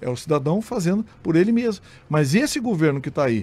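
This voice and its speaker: A man with a fairly high pitch talks fairly quickly, his intonation lively. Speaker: state deputy and journalist-commentator; politician guest. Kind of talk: radio interview. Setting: radio studio. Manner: animated. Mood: critical, argumentative. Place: studio. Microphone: studio mic.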